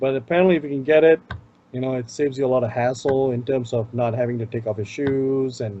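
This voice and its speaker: Talking at a very fast pace, a man speaks with an Indian accent and fairly even intonation. Noticeable background noise runs behind him. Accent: Indian accent, self-noted. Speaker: tech show co-host. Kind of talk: casual chat.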